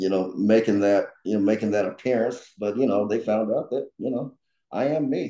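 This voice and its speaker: A man with a Southern US accent, medium pitch and a dark, mellow tone, at a moderate pace with ordinary pitch variation. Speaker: political candidate. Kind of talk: panel talk. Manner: halting, many fillers and repetitions.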